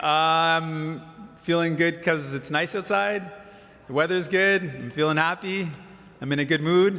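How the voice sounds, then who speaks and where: Someone puts on a shaky character voice at a moderate pace, with long, frequent pauses. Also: man, fairly high pitch for a man. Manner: nervous, shaky.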